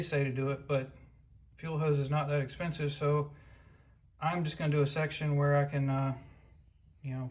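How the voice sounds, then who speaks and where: Keeping a moderate pace, a man talks with a fairly high pitch. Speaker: car restoration YouTuber. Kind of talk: tutorial. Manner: loud.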